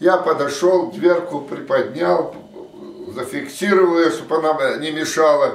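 This man talks very slowly, with a fairly high pitch. Room echo is audible. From Russian Far East, Vladivostok. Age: 80s+. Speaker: war veteran. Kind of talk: testimony. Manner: halting. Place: home room. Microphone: camera far.

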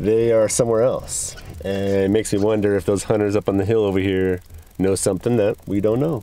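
Fairly quick, fairly low-pitched speech from a man, with very even loudness, fairly even intonation and a dry sound with no echo. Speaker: hunter vlogger. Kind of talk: casual vlog chat. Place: car. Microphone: phone near.

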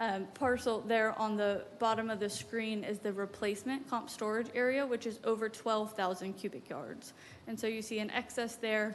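A woman speaks in a fairly high pitch. Her intonation is monotone and flat. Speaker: applicant's representative presenting a development plan. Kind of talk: presentation at a public meeting. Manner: fast.

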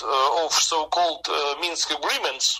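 Pitched high, a man with a Russian accent speaks with ordinary pitch variation. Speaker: trade union official. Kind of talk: interview answer. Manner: hesitant, halting, many filler pauses.

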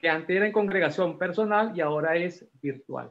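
A man with ordinary pitch variation. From Peru, Lima; Peru. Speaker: class participant. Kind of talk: class discussion. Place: home room. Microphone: video call.

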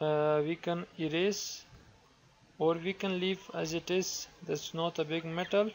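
A man with a high voice and a non-native accent speaks at a fairly slow pace in a flat, monotone delivery. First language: not English. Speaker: software tutorial creator. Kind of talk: tutorial. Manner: halting, many fillers.

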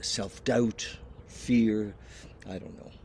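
Light background noise sits behind a dry sound with no echo. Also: man. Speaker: vlogger. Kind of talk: casual vlog chat, personal reflection. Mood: hesitant, searching, low motivation. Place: garden. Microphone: headset.

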